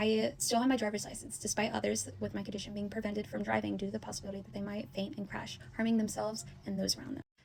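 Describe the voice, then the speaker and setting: Against noticeable noise in the background, the speech runs very fast. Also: woman. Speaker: college student. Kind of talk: informative class speech.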